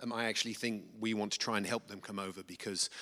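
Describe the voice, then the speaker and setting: With an English accent, the speaker talks at a very fast pace in a monotone, flat intonation with a bright, sharp tone, on a very clean recording with a silent background. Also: man. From England. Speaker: missionary, nonprofit director. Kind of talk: testimony / mission report. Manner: halting, many fillers.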